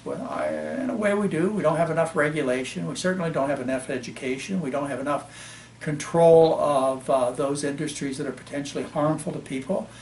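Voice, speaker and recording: A man talks at a fairly quick pace and fairly high pitch with ordinary pitch variation, amid audible room echo and noticeable background noise. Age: 60s. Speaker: physician. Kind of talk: interview.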